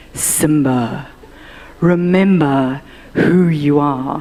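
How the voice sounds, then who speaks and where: A put-on character voice at a low-to-middle pitch moves at a very slow pace. Light background noise can be heard. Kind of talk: solemn, booming, grand.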